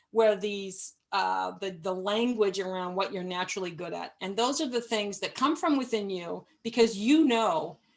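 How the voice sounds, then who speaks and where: A woman's ordinary speaking voice, medium in pitch, at a moderate pace with ordinary pitch variation. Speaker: management consultant and webinar presenter. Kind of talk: webinar presentation. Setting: live webinar.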